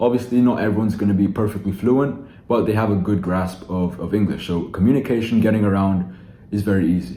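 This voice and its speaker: In a room with audible echo, a man talks at a fairly quick pace in a fairly low voice with a dark, mellow tone and ordinary pitch variation. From Philippines-born, raised elsewhere. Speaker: online sales coach. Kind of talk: casual vlog talk to camera. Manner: casual, with many fillers and restarts.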